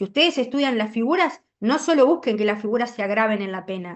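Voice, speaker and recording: This is an unremarkable speaking voice. Its intonation is lively. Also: woman. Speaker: law lecturer. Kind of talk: lecture.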